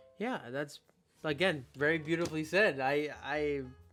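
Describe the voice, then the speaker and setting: A man's fairly high voice comes through with music playing behind it. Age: 20s. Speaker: podcast host. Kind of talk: casual interview chat.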